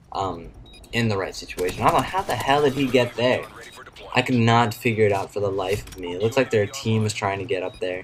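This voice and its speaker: Amid noticeable background noise, a man speaks quietly at a fairly quick pace, his medium pitch showing ordinary variation. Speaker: gaming YouTuber. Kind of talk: gameplay commentary. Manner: quiet, subdued.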